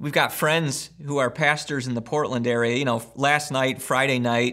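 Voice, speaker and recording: Against a quiet background, a man talks at a moderate pace. His tone is bright and sharp, with fairly even intonation. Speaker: pastor. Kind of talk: sermon intro and prayer. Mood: earnest, gentle. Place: home room.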